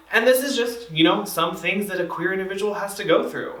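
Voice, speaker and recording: Over noticeable background noise and audible room echo, a man talks at a very fast pace in a raised, projected voice. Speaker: community trainer. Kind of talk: training presentation. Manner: casual, filler-heavy.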